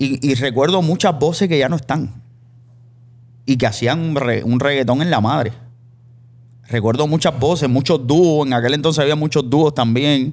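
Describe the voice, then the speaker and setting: A man with a fairly high pitch speaks at a moderate pace, keeping his loudness very even. He takes long, frequent pauses, and his pitch varies in an ordinary way. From Cuba. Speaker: podcast host. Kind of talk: casual interview chat. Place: studio. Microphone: studio mic.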